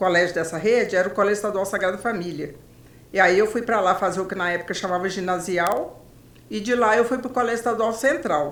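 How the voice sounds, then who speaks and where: Audible room echo surrounds a woman's medium-pitched voice. She keeps a moderate pace with ordinary pitch variation. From Brazil, Belo Horizonte, Minas Gerais. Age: 70s. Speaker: journalist. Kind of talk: interview.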